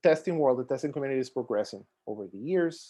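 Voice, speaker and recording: Against a quiet background, the voice has a dark, mellow tone, ordinary pitch variation and a fairly quick pace. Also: man. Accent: Costa Rican. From Costa Rica. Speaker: software testing expert and conference speaker. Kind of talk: conference talk. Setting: video call.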